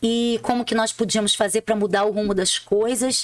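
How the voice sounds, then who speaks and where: In a Rio de Janeiro accent, a woman speaks at a moderate pace. Her pitch is fairly high. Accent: Rio de Janeiro (carioca). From Rio de Janeiro, Brazil. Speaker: public prosecutor and author. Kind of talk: interview, personal story.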